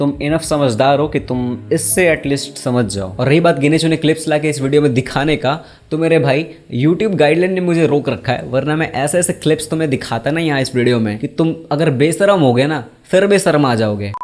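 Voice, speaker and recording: In a normal speaking voice, the speaker keeps a moderate pace with ordinary pitch variation and hardly any pauses. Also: man, fairly high pitch for a man. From Bihar, India. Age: 20s. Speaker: YouTuber, commentator. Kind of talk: casual talk to camera.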